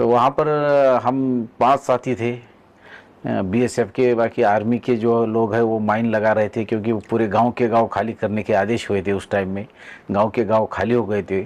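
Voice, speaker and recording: Flat and monotone in intonation, a man speaks at a medium pitch. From Maharashtra, Nanded district, rural. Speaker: border guard soldier. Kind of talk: interview. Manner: halting.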